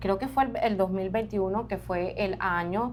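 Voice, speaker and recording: In an ordinary speaking voice, a woman talks fairly slowly at a medium pitch with ordinary pitch variation. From Colombian Caribbean coast, Barranquilla. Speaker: journalist. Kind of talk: interview. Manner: conversational.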